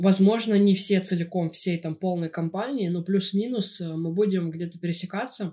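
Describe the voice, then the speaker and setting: A woman's medium-pitched voice, dark and mellow in tone, with fairly even intonation. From Russia, St Petersburg. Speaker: podcast co-host. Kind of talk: casual chat.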